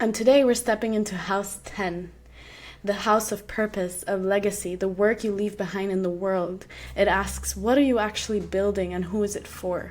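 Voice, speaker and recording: With an Arabic accent, a woman talks at a moderate pace in a medium pitch and fairly even intonation. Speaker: podcast host. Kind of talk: podcast introduction.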